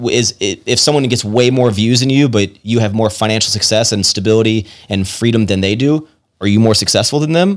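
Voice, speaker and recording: A man's normal speaking voice with an American accent, medium pitch and ordinary pitch variation, at a fairly quick pace with very even loudness. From Virginia, US. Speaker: YouTuber and business owner. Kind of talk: casual chat.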